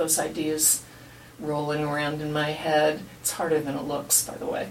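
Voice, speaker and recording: A woman speaks fairly slowly in a very deep, low voice. Audible room echo and noticeable background noise surround her. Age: 70s. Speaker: retired writer and blogger, interview participant. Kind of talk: life story interview. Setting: recorded research interview. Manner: animated.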